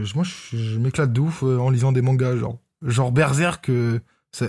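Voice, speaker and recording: The man's voice sits at a medium pitch, dark and mellow and somewhat breathy. His intonation is fairly even, and the recording is very clean with a silent background. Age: 20s. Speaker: podcast guest co-host. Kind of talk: casual chat.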